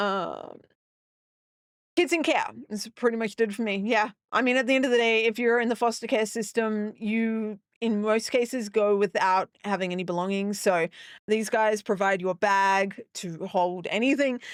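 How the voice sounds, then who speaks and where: A woman with an Australian accent speaks at a moderate pace, her pitch fairly high with ordinary variation. The recording is very clean, with a silent background. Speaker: gaming streamer. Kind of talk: casual live-stream chat. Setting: live stream. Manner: halting, many fillers.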